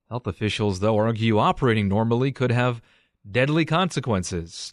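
A man speaks fairly quickly at a medium pitch in a normal speaking voice. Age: 30s. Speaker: radio news host. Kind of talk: news reading.

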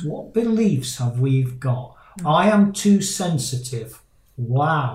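A man with a British accent speaks at a very slow pace. His voice is somewhat breathy, with lively intonation. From Britain. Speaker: life coach and podcast host. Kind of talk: casual interview chat. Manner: halting, many fillers and repeats.

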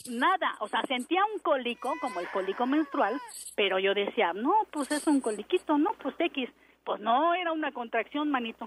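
Over noticeable background noise, a high-pitched woman talks at a moderate pace with very wide pitch swings, in a dry, close sound with no echo. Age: 40s. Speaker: caller, housewife. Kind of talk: casual phone chat, telling a personal story.

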